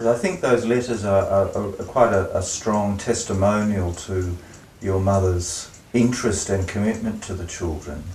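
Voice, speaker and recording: With audible room echo and light background noise, a man talks at a moderate pace in a fairly low pitch with fairly even intonation. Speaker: interviewer. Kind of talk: interview question. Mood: hesitant, respectful. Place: home room.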